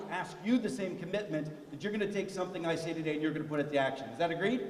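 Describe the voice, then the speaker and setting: A man speaks in a high, animated voice with lively intonation. Audible room echo and noticeable background noise surround him. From US, immigrant family from Italy, steelworker region. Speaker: keynote speaker. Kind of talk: commencement speech. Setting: stage with audience.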